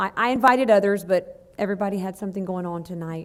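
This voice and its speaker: The woman talks very fast. She has an American accent. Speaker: student council sponsor, teacher. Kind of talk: report at school board meeting. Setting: school board meeting. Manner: loud.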